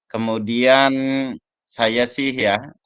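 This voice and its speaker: The sound is dry and close with no echo as a man speaks at a very slow pace. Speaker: teacher training facilitator. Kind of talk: video call reflection session.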